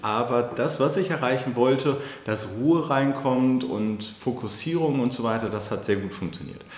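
A man speaks at medium pitch and a moderate pace, with ordinary pitch variation. Audible room echo and noticeable background noise are present. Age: 30s. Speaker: digital agency founder and managing director. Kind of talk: podcast interview. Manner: hesitant, many fillers.

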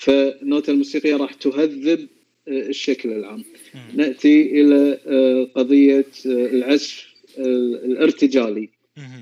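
A man talking at a very slow pace with fairly even intonation. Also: fairly high pitch for a man. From Kuwait. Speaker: amateur violinist. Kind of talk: casual chat.

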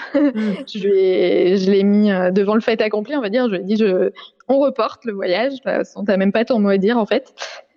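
At a moderate pace, a woman speaks fairly high with ordinary pitch variation and very even loudness. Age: 30s. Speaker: family caregiver. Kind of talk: interview testimony. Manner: halting, many filler hesitations.

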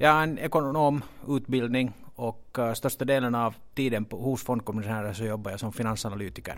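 A man speaks with a Finland-Swedish accent at a fairly quick pace. His pitch is medium, with ordinary variation. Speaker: stock exchange executive. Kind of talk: interview. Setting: exchange offices. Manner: halting, with many repeated words.

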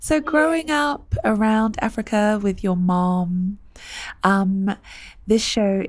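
On a very clean recording with a silent background, a woman with a British accent speaks at a fairly slow pace. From UK. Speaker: podcast host. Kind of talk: casual interview. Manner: warm, animated.

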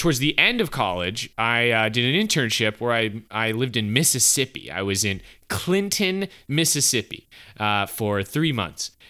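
Bright and sharp in tone, a man with an American accent speaks at a medium pitch with lively intonation. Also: moderate pace. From upstate South Carolina, US South. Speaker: podcast host. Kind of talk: casual chat.

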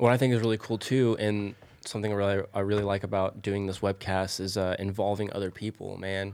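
In an American accent, the speaker talks at a very fast pace with monotone, flat intonation. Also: man, fairly low pitch for a man. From Oklahoma, Tulsa area. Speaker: podcast host. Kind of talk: casual chat.

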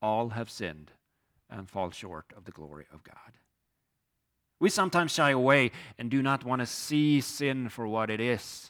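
On a very clean recording with a silent background, a man with a Swedish accent speaks with very wide pitch swings, big swings in loudness and long, frequent pauses. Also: medium pitch for a man, moderate pace. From Sweden. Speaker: pastor. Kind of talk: sermon. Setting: church.

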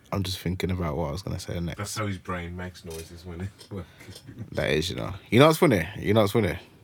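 A very fast man with a British accent and a very deep, low pitch, with big swings in loudness. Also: ordinary pitch variation. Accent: British urban. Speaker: podcast host. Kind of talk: casual banter.

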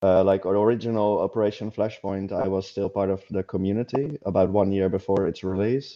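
Fairly quick and with hardly any pauses, a man talks at a fairly low pitch with fairly even intonation. His is an unremarkable speaking voice. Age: 30s. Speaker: game developer. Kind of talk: casual interview.

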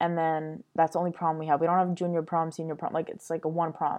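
The speaker is a woman with a Montreal accent. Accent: Montreal English (Canadian). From Montreal, Quebec. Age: 20s. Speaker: podcast host. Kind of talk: casual monologue.

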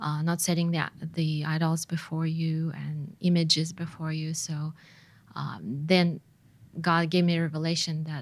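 A woman with a Russian accent speaks at a moderate pace in a very deep, low pitch. Her voice is somewhat breathy, with monotone, flat intonation. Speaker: missionary's wife. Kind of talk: casual interview. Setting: studio. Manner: hesitant, many fillers.

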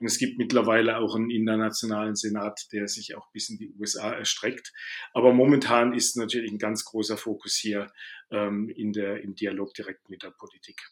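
A man with a fairly low voice speaks at a moderate pace in a monotone, flat intonation. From Baden, southwest Germany. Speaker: management consultant. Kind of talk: interview.

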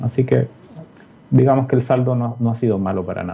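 A man rattles along very fast, his pitch varying in an ordinary way. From Peru (Lima). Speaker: physics professor. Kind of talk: interview. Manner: halting, repeats words.

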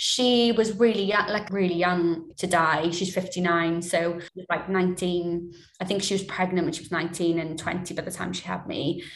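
Over noticeable background noise, a woman with a Swansea accent speaks at a fairly low pitch and a fairly slow pace. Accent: Welsh, Swansea. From Swansea, Wales. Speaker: television series producer. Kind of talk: radio interview, personal reflective chat.

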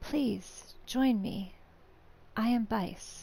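A raspy, put-on character voice. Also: woman, fairly high pitch for a woman.

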